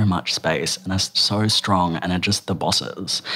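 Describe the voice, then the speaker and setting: A man with a very deep, low pitch and an Australian accent, at a moderate pace. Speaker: writer, performer and gender educator. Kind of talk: casual interview.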